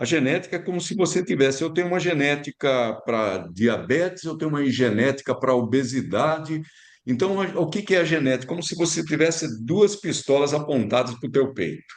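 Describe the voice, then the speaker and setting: This man has an unremarkable speaking voice with a fairly high pitch and lively intonation. He moves at a moderate pace with hardly any pauses. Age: 60s. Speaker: physician. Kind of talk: casual chat.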